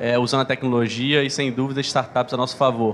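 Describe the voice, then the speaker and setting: A man with a medium-pitched voice speaks in a flat monotone over noticeable background noise. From Rio de Janeiro, Brazil. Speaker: open innovation manager. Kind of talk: conference panel talk.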